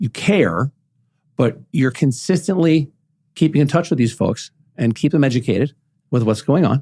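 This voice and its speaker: With an American accent and a fairly high pitch, a man speaks at a moderate pace in a dark, mellow, somewhat breathy tone, using lively intonation and long, frequent pauses, in a dry, close sound with no echo. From New York City. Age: 50s. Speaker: podcast host. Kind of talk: casual chat. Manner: animated.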